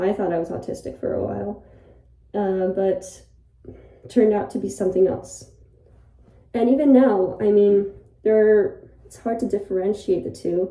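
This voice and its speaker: At a moderate pace, a woman with a medium pitch and dark, mellow tone speaks with ordinary pitch variation, big swings in loudness, and long, frequent pauses, with audible room echo. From Ireland. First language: Polish. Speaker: YouTuber. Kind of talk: casual monologue. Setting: bathroom, in a bathtub. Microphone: echoey room acoustics.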